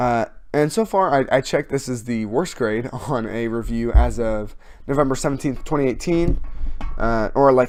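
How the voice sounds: With lively intonation, a man speaks in a slightly mellow tone. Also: medium pitch for a man, moderate pace.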